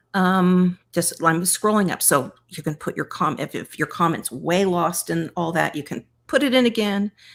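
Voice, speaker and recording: The voice moves at a moderate pace with lively intonation and hardly any pauses, on a very clean recording with a silent background. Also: woman, fairly low pitch for a woman. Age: 50s. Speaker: weight-loss community coach. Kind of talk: live stream chat, answering viewer comments. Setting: YouTube live stream. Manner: casual, many fillers and restarts; enthusiastic, encouraging.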